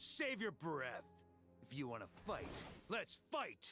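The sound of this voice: A man puts on a character voice with a fairly high pitch, a bright, sharp tone and a slightly husky edge, swinging very widely in pitch at a slow pace. Faint music plays in the background.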